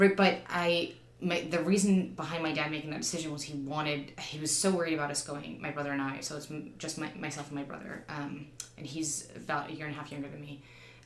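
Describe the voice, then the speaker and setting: Very deep, low female voice with a New Jersey accent at a very fast pace, fairly even intonation and big swings in loudness, with audible room echo and noticeable background noise. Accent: American, New Jersey. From New Jersey, US. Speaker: counterterrorism teacher. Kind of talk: interview conversation. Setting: studio.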